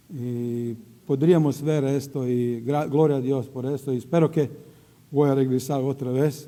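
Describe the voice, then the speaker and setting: Speaking very slowly, a man with a Croatian accent has a dark, mellow tone. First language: Croatian (speaking Spanish). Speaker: missionary preacher. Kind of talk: sermon. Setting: church. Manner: halting.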